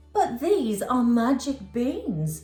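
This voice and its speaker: In a put-on character voice, a female-sounding voice speaks at a high pitch. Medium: read story.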